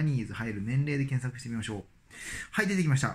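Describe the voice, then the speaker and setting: This man's voice is somewhat breathy, with lively intonation. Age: 40s. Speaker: dentist and YouTuber; YouTuber. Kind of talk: casual vlog monologue. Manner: hesitant, many fillers. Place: home room. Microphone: phone near.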